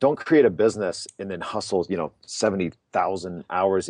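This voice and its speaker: In a normal speaking voice, a man talks at a moderate pace and a fairly low pitch, with a dry, close sound, no echo and a quiet background. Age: 30s. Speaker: marketing company founder. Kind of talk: interview. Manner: casual, conversational.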